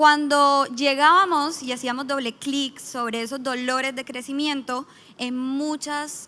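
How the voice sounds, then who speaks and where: In a Colombian accent, the raised, projected voice has a bright, sharp tone and moves at a fairly slow pace. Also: woman. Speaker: business manager, startup founder. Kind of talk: conference panel talk. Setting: stage with audience.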